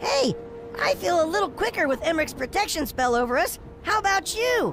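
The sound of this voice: A cartoonish character voice, high-pitched and at a fairly quick pace, with clear music playing in the background.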